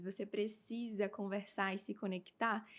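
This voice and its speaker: A woman speaks in an ordinary speaking voice at medium pitch. Her intonation stays fairly even. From Brazil, Amazonas. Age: 20s. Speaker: beauty pageant winner. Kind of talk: interview.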